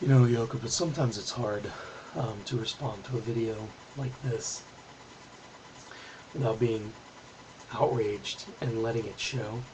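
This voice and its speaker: A man speaks quietly at a medium pitch with fairly even intonation. Long, frequent pauses break up his speech over noticeable background noise. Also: moderate pace. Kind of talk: political video response to camera.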